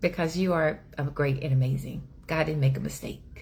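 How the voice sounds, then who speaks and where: A woman's very deep, low-pitched voice with vocal fry and an animated tone. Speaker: inspirational speaker. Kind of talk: inspirational talk. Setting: livestream. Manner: loud.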